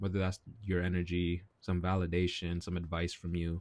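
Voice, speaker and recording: A man at a moderate pace, in a very clean recording with a silent background and a dry, close sound with no echo. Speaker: vlogger. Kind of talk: casual monologue vlog. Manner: halting, repeats words.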